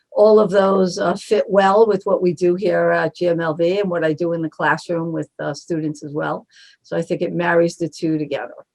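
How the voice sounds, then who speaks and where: A woman with a Brooklyn accent, fairly low pitch, fairly even intonation and a fairly quick pace. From Brooklyn, New York. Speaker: marketing agency co-founder. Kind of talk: interview.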